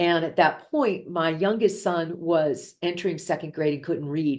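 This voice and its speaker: A woman with an American accent speaks at a fairly slow pace against a quiet background. Her pitch is fairly low and her intonation fairly even. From Ohio, US Midwest. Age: 50s. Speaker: executive coach and entrepreneur. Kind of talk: interview. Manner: casual conversational, frequent fillers.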